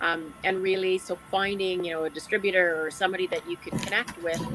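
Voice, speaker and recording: Over music in the background, a woman with a Canadian accent speaks in a monotone, flat intonation. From Alberta, Canada. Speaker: online business owner. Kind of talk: panel discussion.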